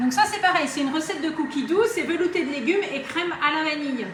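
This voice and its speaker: Amid noticeable background noise and audible room echo, a woman speaks at a fairly quick pace with very wide pitch swings. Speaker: Thermomix demonstrator. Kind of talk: live cooking demonstration. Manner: fast.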